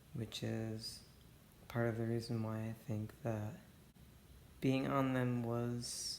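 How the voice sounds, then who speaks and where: With some room echo audible, the words come out very slowly. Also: man. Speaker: vlogger documenting detransition. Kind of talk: personal video diary. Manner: halting.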